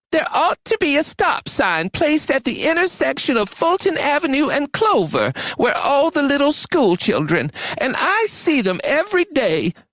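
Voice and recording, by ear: A man puts on a character voice at an extremely high pitch. It comes out shrill at a moderate pace.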